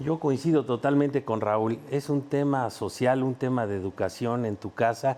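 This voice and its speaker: A man speaks in a plain, everyday voice. His pitch is medium and his pace moderate. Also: ordinary pitch variation. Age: 60s. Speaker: former footballer and talent scout. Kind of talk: sports panel discussion.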